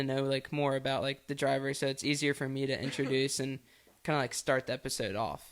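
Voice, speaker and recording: On a very clean recording with a silent background, a man with an ordinary speaking voice talks at a fairly high pitch and a fairly quick pace. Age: 20s. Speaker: racing podcast host, guest. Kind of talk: casual chat. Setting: studio.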